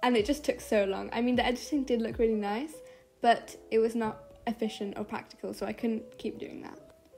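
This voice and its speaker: Sounding bored, a woman speaks fairly quickly at a fairly high pitch with ordinary pitch variation. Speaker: art youtuber. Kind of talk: voiceover narration. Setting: bedroom. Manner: sometimes sounds bored; quiet. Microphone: muffled sound.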